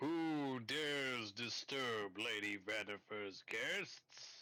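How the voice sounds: In a put-on character voice, a man booms out at medium pitch. The pace is very slow.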